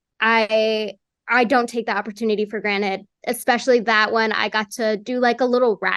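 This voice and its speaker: A woman's fairly high voice at a moderate pace. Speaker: voice actress. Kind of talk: interview. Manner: animated; filler-heavy, casual.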